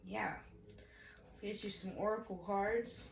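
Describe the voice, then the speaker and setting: A woman talks at a moderate pace, her voice met by audible room echo and noticeable background noise. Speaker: tarot reader. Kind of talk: tarot reading. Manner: casual, profane.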